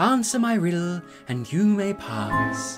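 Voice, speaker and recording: A man uses a put-on character voice, soft-spoken and high-pitched, at a fairly slow pace. Music plays in the background. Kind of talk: casual vlog chat. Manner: soft, friendly, smiling.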